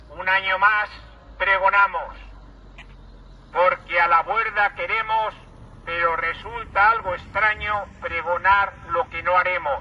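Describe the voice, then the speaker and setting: A man's high-pitched, raised, projected voice at a very slow pace, with long, frequent pauses, fairly even intonation, and noticeable background noise. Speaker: town crier. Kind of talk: rhymed festival proclamation.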